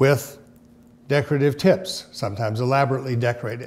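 A man is speaking at a fairly quick pace. His intonation is fairly even. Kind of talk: informative presentation to camera.

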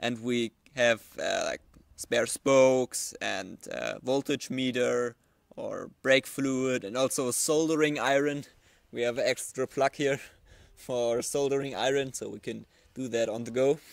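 A man with fairly even intonation, recorded dry with no echo and a quiet background. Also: fairly slow pace. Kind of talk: casual vlog chat, tutorial. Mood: relaxed, amused. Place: garden. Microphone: handheld.

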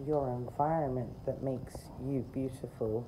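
A woman's very deep, low voice, flat and monotone, with noticeable background noise. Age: 40s. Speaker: video creator. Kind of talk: rant. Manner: sarcastic, emphatic. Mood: opinionated, mildly indignant. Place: garden. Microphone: phone near.

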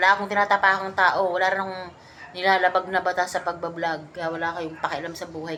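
A woman's medium-pitched voice, animated in tone and at a fairly quick pace. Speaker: vlogger. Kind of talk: casual chat over drinks.

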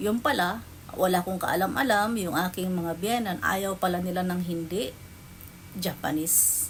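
Someone speaks at a fairly slow pace, with audible room echo around the voice. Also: woman. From Philippines. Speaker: vlogger. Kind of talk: personal storytelling.

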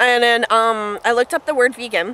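In a Western Canadian accent, a woman speaks in a high voice with a dry sound and no echo. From Canada, northern British Columbia. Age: 20s. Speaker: vlogger. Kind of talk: casual vlog while eating. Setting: outdoors by a lake. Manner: halting, many fillers. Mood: relaxed, cheerful. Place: waterside. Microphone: phone near.

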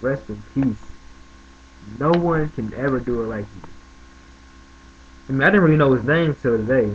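Light background noise sits behind a somewhat breathy man whose loudness swings widely, with ordinary pitch variation and long, frequent pauses. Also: moderate pace. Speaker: vlogger. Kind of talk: casual talk to camera. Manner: casual, conversational. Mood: tribute, half joking, smiling. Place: home room. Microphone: webcam.

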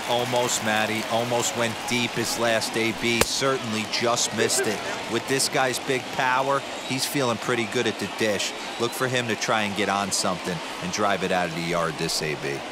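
At a moderate pace, a man speaks with a medium pitch and ordinary pitch variation over noticeable background noise. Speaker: baseball color analyst. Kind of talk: video game baseball color commentary. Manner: conversational, analytical, former-player tone.

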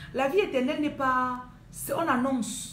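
Somewhat breathy and fairly slow, a woman speaks over light background noise with audible room echo. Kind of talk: livestream sermon and prayer. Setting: live video stream. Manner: talkative. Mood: fervent, earnest. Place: home room. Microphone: phone near.

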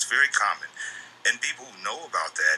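Music can be heard behind the voice. The speaker is a man. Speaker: interview guest. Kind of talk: interview answer.

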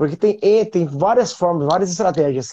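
Moving at a moderate pace, a dark, mellow voice carries lively intonation. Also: man. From Brazil. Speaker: music show host; interview show host. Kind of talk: interview. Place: home room. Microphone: earbuds.

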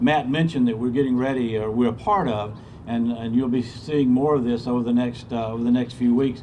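A man with an American accent, medium pitch, fairly even intonation and a fairly quick pace with hardly any pauses, over light background noise. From US South, Georgia. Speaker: state tourism official. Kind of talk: ceremony speech. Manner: halting, repeats words. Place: street. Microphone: podium.

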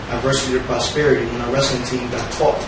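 A man speaks at a medium pitch with little pitch movement. Clear background noise and audible room echo surround him.

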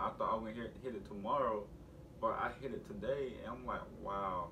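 A man talks at a moderate pace. Noticeable background noise can be heard. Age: 20s. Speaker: YouTube vlogger. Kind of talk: casual vlog talk to camera. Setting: at home with family in background. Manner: animated. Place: home room. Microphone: camera far.

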